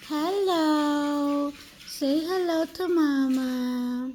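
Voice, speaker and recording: The woman's voice has a dark, mellow tone. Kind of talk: casual talk to pets on camera. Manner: baby talk.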